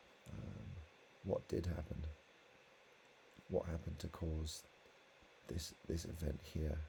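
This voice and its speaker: A quiet, somewhat breathy voice with a dark, mellow tone, fairly slow pace, fairly even intonation, and long, frequent pauses. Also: man, very deep, low pitch for a man. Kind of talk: casual talk to camera.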